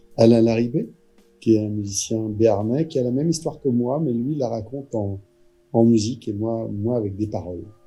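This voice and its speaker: Music plays behind a man speaking at a moderate pace. His voice has medium pitch and ordinary variation. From France, Vendée. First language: Poitevin-Saintongeais (Vendée patois) (speaking French). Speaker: actor and storyteller. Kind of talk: interview. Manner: hesitant, with fillers.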